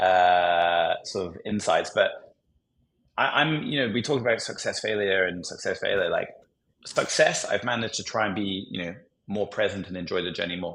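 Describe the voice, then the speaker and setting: The speech moves at a moderate pace. It carries a British accent. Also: man. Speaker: entrepreneur. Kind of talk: podcast interview.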